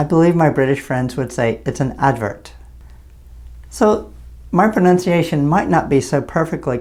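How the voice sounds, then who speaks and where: With an American accent, a man speaks at a medium pitch, somewhat breathy, with lively intonation and long, frequent pauses. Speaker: English teacher. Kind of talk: tutorial. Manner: clear, deliberate.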